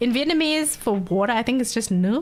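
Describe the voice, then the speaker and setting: Lively intonation carries this woman's speech. She speaks with an Australian accent. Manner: soft T's and R's, not pronouncing them.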